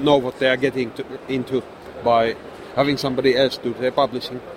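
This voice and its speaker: A man with a Finnish accent, amid noticeable background noise. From Finland. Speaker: game designer and publisher. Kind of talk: convention interview. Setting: convention booth. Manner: hesitant, frequent repetitions.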